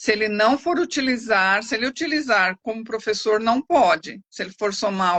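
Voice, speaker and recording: An ordinary speaking voice from a woman, fairly high in pitch, with lively intonation at a moderate pace. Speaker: lawyer. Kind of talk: expert Q&A answers. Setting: live stream.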